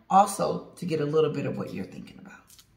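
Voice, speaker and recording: A woman's very deep, low voice with ordinary pitch variation and audible room echo. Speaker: channel host. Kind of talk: casual vlog chat. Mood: relaxed, laughing. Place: home room. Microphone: phone near.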